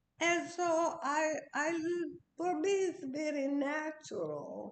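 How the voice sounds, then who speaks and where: A woman talks at an extremely high pitch, very slowly. Her intonation is flat and monotone, and the room echo is audible. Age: 80s+. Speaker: interviewee, host's mother. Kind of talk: casual chat. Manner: halting.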